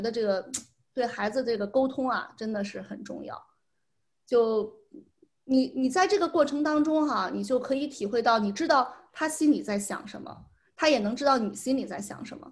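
Her voice is high, with lively intonation and big swings in loudness, as a woman speaks at a moderate pace. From China. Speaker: parent; guest. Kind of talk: interview. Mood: warm, reflective about son. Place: home room. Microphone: video call.

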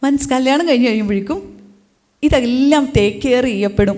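The woman's voice has a high pitch. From Kerala, Idukki district (Thodupuzha). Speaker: motivational speaker. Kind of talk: public talk. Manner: conversational, engaging audience.

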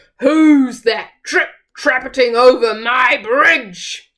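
A put-on character voice, pitched fairly high and bellowing. It is raised and projected, delivered at a very slow pace. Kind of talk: storybook. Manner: roaring, hungry.

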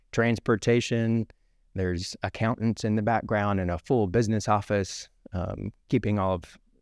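A man's normal speaking voice, fairly low in pitch, with fairly even intonation at a moderate pace, over a quiet background, dry with no echo. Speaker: guest. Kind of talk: interview answer. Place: studio. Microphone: studio mic.

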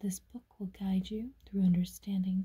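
The soft-spoken voice is whispering against a quiet background. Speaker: tarot deck reviewer. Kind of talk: casual unboxing narration, reading aloud. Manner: soft ASMR whisper reading aloud. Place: home room. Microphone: phone near.

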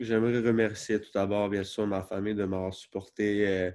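A man speaks in a dark, mellow tone, fairly low in pitch and monotone, with flat intonation. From Montreal, Quebec. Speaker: college football player. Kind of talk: recruitment interview. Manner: halting, many fillers. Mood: calm, relieved, grateful. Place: home room. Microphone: webcam.

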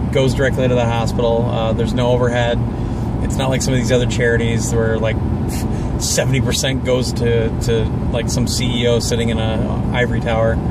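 A man speaks at a moderate pace over loud background noise. The sound is dry, with no echo. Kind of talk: casual vlog chat. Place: car. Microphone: phone near.

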